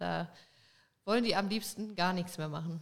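Here a woman speaks at a medium pitch with fairly even intonation. Hers is an unremarkable speaking voice. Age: 20s. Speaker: dairy farmer. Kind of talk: casual interview chat. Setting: studio, in person.

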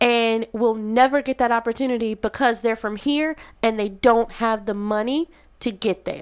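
Against a silent background in a very clean recording, a woman speaks at a fairly high pitch. Her tone is animated and her pace moderate. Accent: Southern US. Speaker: podcast co-host. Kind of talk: casual chat.

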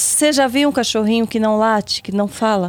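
With ordinary pitch variation, a woman speaks at a moderate speed. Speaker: podcast guest. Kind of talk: casual chat.

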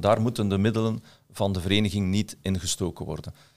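The man's voice sits at a fairly low pitch with ordinary pitch variation, moving at a fairly quick pace. The recording is very clean, with a silent background. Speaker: director of real estate professional association. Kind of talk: podcast interview. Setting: studio.

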